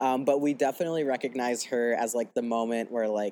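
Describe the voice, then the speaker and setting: At a moderate pace and medium pitch, a man with an unremarkable speaking voice talks on a very clean recording with a silent background. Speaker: transgender guest sharing personal story. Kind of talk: casual chat.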